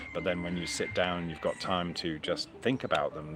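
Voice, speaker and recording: Noticeable background noise sits under a man's speech. His voice is very deep and low, his pace moderate. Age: 50s. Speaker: flat earth video blogger. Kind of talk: solo monologue. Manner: halting, many repetitions and fillers; reflective, conversational.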